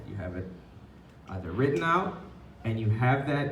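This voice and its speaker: A man talks at medium pitch. Noticeable background noise can be heard. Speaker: poet and teaching artist. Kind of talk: workshop teaching talk. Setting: live venue with microphone and PA. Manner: casual, conversational.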